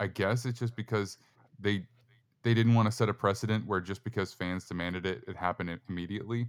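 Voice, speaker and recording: Very fast speech comes from a man with a fairly low pitch. His intonation is fairly even, on a very clean recording with a silent background. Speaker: football podcast host. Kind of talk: casual sports talk.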